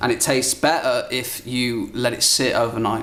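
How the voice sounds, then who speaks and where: Speaking at a medium pitch with a British accent, a man comes through over noticeable background noise. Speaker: cooking show host. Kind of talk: cooking demonstration. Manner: animated.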